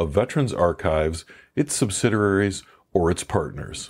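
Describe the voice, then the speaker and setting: A man talks at a moderate pace with a fairly low pitch and an unremarkable speaking voice. The recording is very clean, with a silent background. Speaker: podcast host, interviewer. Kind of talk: podcast intro read.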